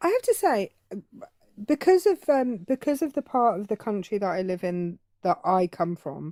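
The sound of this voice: At a moderate pace, a woman speaks in a dark, mellow tone at medium pitch with very wide pitch swings, in a dry, close sound with no echo.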